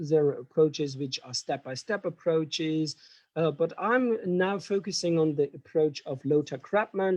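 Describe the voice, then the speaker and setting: Speaking with a German accent, a man uses a fairly high pitch, a dark, mellow tone, ordinary pitch variation and a moderate pace, in a dry, close sound with no echo. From Germany. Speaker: professor. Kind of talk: lecture. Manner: halting.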